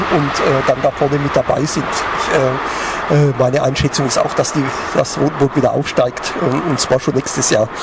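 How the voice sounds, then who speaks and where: Monotone, flat intonation at a moderate pace, with noticeable background noise. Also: man. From Lower Franconia, Germany. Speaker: newspaper sports journalist. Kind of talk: casual chat. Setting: outdoors at a pub.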